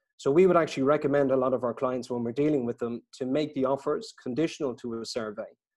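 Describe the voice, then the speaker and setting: With an Irish accent, the speaker races along at a very fast pace with hardly any pauses and fairly even intonation. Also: man, medium pitch for a man. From Ireland. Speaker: estate agent. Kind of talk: webinar interview. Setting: video call.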